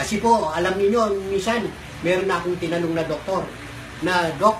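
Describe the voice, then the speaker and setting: A man at a fairly quick pace, ordinary pitch variation, noticeable background noise behind him. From Pampanga, Philippines. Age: 80s+. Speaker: product testimonial giver. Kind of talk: testimonial talk to camera.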